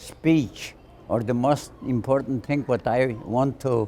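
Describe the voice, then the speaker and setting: A man's voice at a medium pitch has a dark, mellow tone and ordinary pitch variation. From Poland. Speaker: Holocaust survivor. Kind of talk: interview answer.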